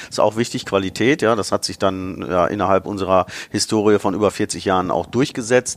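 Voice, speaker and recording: This is a man with a fairly low pitch. He has an unremarkable speaking voice. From Ruhr area, Germany (Bottrop). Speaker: automotive marketing director. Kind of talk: interview.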